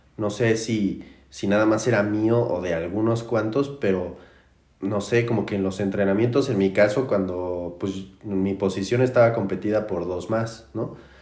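A man talks at a fairly slow pace with a fairly low pitch and fairly even intonation. Room echo is audible. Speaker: podcast host. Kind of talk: casual chat. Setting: in-person studio recording. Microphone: distorted backup recording.

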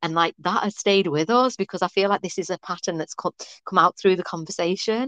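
The recording has a dry, close sound with no echo, carrying a woman's normal speaking voice at medium pitch with ordinary pitch variation. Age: 30s. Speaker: podcast host. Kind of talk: casual chat.

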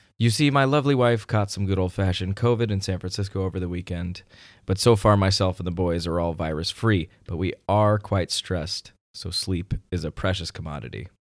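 A man puts on a raspy character voice with a very deep, low pitch. He speaks at a fairly quick pace on a very clean recording with a silent background. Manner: speaking softly, hushed.

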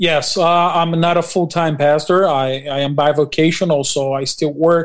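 A man with a Portuguese accent at a fairly high pitch, fairly slow and monotone, with flat intonation. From Brazil. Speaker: pastor and construction worker. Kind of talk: interview. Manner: halting.

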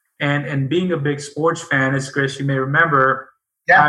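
This man's voice is fairly high with a bright, sharp tone. He speaks at a moderate pace in a monotone, flat intonation. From India. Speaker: business owner, CEO. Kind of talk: interview. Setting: video call.

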